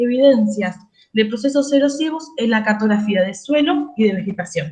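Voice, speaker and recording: A woman talks with lively intonation. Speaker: doctoral candidate. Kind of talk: thesis defense presentation. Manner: fast.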